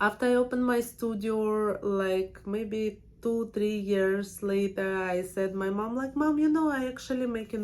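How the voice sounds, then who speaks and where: The speaker is a woman with a strong Russian accent. Her pitch sits in the medium range. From Russia, Siberia. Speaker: permanent makeup artist and trainer. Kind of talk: casual personal vlog. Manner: hesitant, with fillers.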